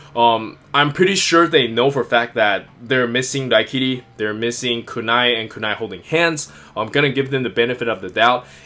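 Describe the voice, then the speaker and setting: Over noticeable background noise, a man talks at a moderate pace and medium pitch with ordinary pitch variation and hardly any pauses. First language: not English. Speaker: toy figure reviewer. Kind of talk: product review. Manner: casual with frequent fillers.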